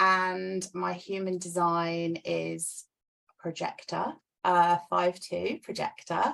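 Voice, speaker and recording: A woman at a medium pitch with a London accent, on a very clean recording with a silent background. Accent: British, London. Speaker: sales and business mentor. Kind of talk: interview.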